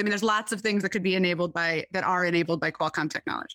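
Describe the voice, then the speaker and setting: A woman with a Midwestern US accent and ordinary pitch variation, in a very clean recording with a silent background. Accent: US Midwest. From Michigan, US. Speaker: tech company sustainability executive. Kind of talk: interview.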